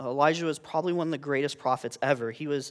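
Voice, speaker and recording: Heard on a very clean recording with a silent background, an unremarkable speaking voice moves with ordinary pitch variation. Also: man. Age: 20s. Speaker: youth intern giving a sermon. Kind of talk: sermon.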